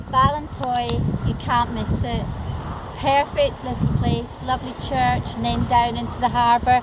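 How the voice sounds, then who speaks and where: Noticeable background noise surrounds a woman speaking at a fairly slow pace with a southern Irish accent. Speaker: travel vlogger. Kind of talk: walking tour narration. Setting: outdoors on coastal walk. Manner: enthusiastic.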